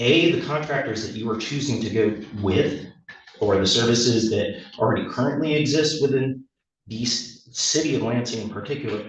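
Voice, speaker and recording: At a moderate pace and medium pitch, a man speaks with ordinary pitch variation and audible room echo. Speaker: public commenter, electrician and homeless advocate. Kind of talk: public testimony at a court hearing. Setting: courtroom. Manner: halting, with many fillers.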